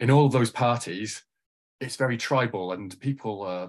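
A man's medium-pitched voice at a moderate pace, with ordinary pitch variation, over a quiet background. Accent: Mancunian. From Manchester, England. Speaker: lawyer and political candidate. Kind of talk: interview conversation.

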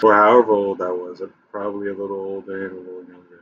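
There is light background noise as a man speaks in a fairly low pitch. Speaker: gaming video creator. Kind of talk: casual gaming commentary. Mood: nostalgic, relaxed, profane. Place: home room.

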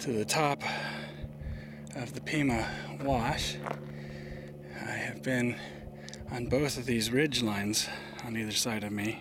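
A man speaks with long, frequent pauses. The sound is dry with no echo, though background noise is noticeable. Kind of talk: casual vlog chat. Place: open country. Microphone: phone near.

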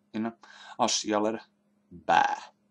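A man's voice, fairly low in pitch. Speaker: video blogger giving a rant. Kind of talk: angry rant. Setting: home computer, solo video. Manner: indignant, sarcastic and blunt, with rising anger; rambling, informal, hesitant with fillers. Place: home room. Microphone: headset.

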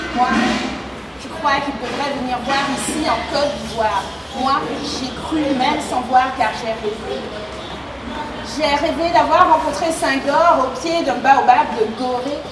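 Noticeable background noise surrounds a woman speaking at a very slow pace. She leaves long, frequent pauses. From Martinique. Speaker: slam poet and storyteller. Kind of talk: slam poetry performance. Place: tent.

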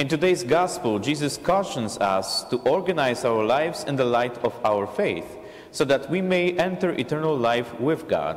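With lively intonation, a man talks at a moderate pace. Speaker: priest presiding at Mass. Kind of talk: liturgical address. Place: church.

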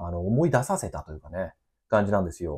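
This man's voice comes over a quiet background. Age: 30s. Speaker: gardener and company owner. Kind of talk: casual monologue. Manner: filler-heavy, relaxed. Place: office.

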